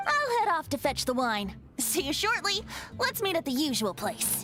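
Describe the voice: A woman uses a put-on character voice, high and bright with a sharp tone and big pitch swings, at a moderate pace over faint background music.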